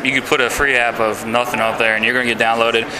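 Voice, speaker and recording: Medium-pitched male voice with audible room echo and noticeable background noise. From Louisiana (Baton Rouge). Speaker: indie game developer. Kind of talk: interview. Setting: game developers conference. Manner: hesitant, many fillers.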